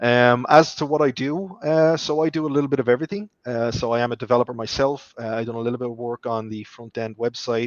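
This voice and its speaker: A man with an Irish accent, fairly even intonation and a fairly quick pace. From Ireland. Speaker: software developer and project manager. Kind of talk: interview.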